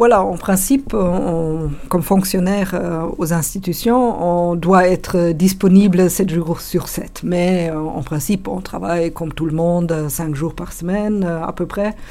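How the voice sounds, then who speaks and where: With a German accent, a woman with a fairly low pitch speaks at a very slow pace with hardly any pauses and fairly even intonation over noticeable background noise. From Germany. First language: German (speaking French). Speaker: conference interpreter. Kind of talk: interview. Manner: hesitant.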